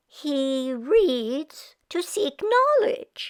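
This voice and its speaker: A woman's whiny, put-on character voice at an extremely high pitch, with very wide pitch swings. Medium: read story. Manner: whiny, dramatic.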